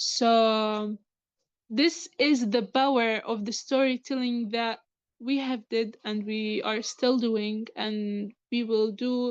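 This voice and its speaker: Against a quiet background, a woman with an Arabic accent speaks at a very slow pace. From Gaza, Palestine. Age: 20s. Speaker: student and writer. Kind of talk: interview. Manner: halting.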